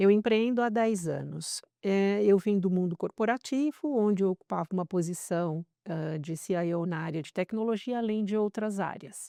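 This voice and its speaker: The tone is dark and mellow, with ordinary pitch variation at a moderate pace. The sound is dry and close with no echo over a quiet background. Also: woman, medium pitch for a woman. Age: 60s. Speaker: entrepreneur, former tech executive. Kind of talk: interview podcast.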